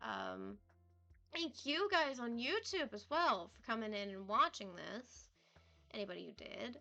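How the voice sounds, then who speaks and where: With music in the background, a woman speaks at a fairly slow pace, her loudness swinging widely. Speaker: streamer. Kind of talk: casual chat. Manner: rambling, filler-heavy. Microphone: laptop setup, headset mic.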